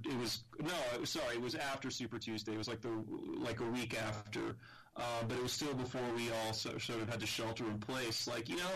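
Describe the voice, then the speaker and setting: This man speaks with an American accent at a medium pitch. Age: 30s. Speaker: podcast co-host. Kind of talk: casual discussion. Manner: halting.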